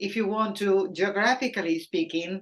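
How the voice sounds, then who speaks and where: In a Spanish accent, a woman talks with ordinary variation in her pitch. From Argentina. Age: 60s. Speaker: painter. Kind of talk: interview.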